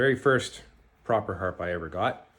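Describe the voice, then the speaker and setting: A man with a Canadian accent, fairly slow pace and very wide pitch swings. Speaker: jaw harp maker and teacher. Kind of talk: tutorial. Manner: halting.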